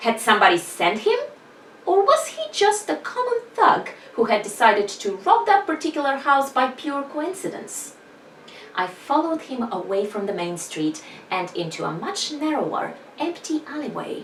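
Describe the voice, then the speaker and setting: With a non-native accent, a woman speaks at a high pitch with very wide pitch swings. Noticeable background noise sits behind her. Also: moderate pace. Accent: non-native English accent, described as weird. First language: not English. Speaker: author vlogger. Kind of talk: reading aloud own fiction.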